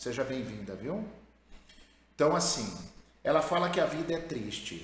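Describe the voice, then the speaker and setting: A man with a fairly high pitch speaks at a fairly slow pace, his pitch swinging very widely, with audible room echo around him. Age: 50s. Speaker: therapist and course creator. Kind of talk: live advice session reading listener letters.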